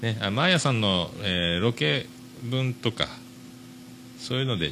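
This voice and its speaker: A man talks at medium pitch with a bright, sharp tone. His intonation is lively. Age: 40s. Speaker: podcast host. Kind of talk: casual monologue. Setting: shop.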